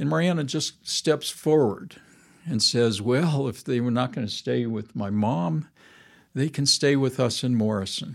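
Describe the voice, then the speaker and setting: Speaking fairly slowly, a man has a medium pitch, lively intonation and an unremarkable speaking voice. The recording is very clean, with a silent background. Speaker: churchgoer. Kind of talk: casual chat. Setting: studio.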